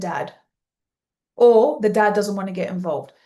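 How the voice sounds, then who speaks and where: This woman's voice is fairly high in pitch. Its tone is dark and mellow. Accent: Australian. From Australia, Sydney. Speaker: business coach for teen coaches. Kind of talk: live webinar training. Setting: live online session. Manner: energetic.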